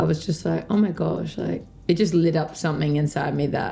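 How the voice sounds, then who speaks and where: Her voice very deep and low in pitch, a woman with an Australian accent speaks at a moderate pace in a dark, mellow tone. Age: 20s. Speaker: dancer and dance teacher. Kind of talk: interview. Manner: casual, hesitant with many fillers.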